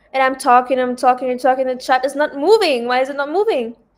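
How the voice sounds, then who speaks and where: Loud and high-pitched, a woman talks at a fairly quick pace. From Lebanon. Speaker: trading livestreamer. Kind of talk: casual livestream chat. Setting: hotel room.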